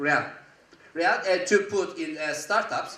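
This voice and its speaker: A raised, projected voice with a Turkish accent and audible room echo. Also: man. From Turkey. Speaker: angel investor, conference speaker. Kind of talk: conference talk. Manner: animated.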